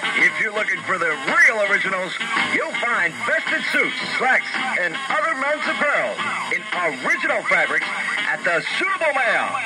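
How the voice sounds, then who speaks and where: Spoken at a moderate pace with loud music playing in the background. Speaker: radio ad announcer. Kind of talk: radio commercial read. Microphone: old recording.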